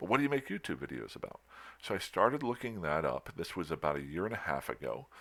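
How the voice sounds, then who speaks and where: A man speaks at a very fast pace with vocal fry. His pitch swings very widely. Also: very clean recording, silent background. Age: 50s. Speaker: gaming youtuber. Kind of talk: casual monologue. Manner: halting.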